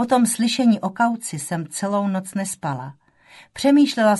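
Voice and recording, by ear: Natural-voiced reading aloud with ordinary rises and falls in pitch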